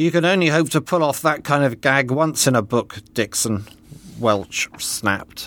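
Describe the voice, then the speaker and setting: Fairly slow delivery with lively intonation and an animated, dramatic tone. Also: man. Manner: animated, wry and mock-dramatic, voicing the characters with arch, comic inflections.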